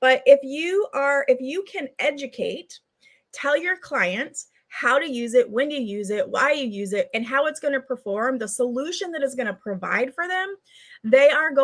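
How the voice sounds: Her lively intonation, high pitch and moderate pace mark this woman's speech.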